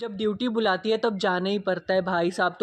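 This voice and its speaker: Speaking at a moderate pace, a woman uses a medium pitch in a monotone, flat delivery. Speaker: TV serial reviewer. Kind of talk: casual commentary vlog.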